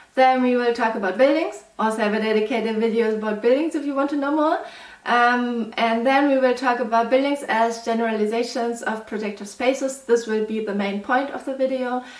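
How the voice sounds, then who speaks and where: Amid audible room echo and noticeable background noise, a woman with a German accent and a high pitch speaks at a fairly quick pace with fairly even intonation and hardly any pauses. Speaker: mathematics PhD student, educational youtuber. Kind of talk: lecture.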